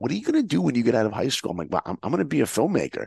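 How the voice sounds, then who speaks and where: A man with an American accent, heard dry and close with no echo. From US, New York. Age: 50s. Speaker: filmmaker and motivational speaker. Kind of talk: interview, storytelling. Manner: animated.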